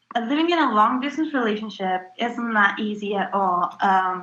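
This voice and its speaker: A woman speaks with a bright, sharp tone at a fairly high pitch. Her intonation is lively. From Italy, Calabria. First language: Italian. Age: 20s. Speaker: interviewee. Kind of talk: interview. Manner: hesitant, many fillers.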